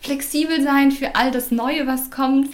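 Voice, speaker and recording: A woman speaks at a high pitch amid noticeable background noise. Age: 20s. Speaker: former language exchange facilitator, teacher trainee. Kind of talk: casual interview.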